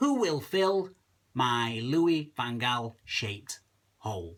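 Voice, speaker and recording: The speaker has a Lancashire accent and talks at a very slow pace. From Lancashire, England. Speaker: comic poet. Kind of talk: casual talk to camera.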